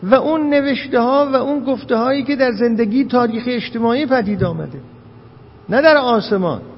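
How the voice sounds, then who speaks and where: A man talks at a fairly quick pace with an extremely high pitch and ordinary pitch variation. Noticeable background noise and audible room echo fill the recording. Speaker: lecturer on philosophy and hermeneutics. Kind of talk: lecture. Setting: lecture hall with audience.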